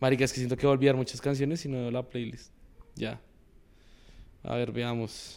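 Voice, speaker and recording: At a medium pitch and moderate pace, a man speaks with monotone, flat intonation and long, frequent pauses. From Colombia, Bogotá and Boyacá. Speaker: influencer. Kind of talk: casual interview. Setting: garden.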